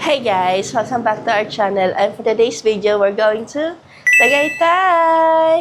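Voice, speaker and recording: A woman with fairly high pitch, lively intonation and a fairly slow pace, against noticeable background noise. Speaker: travel vlogger. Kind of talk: vlog narration.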